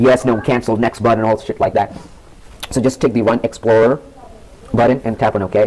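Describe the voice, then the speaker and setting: A man at a medium pitch, talking at a very fast pace amid noticeable background noise. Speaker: tech tutorial youtuber. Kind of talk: screen-recorded software tutorial. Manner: casual, halting with fillers.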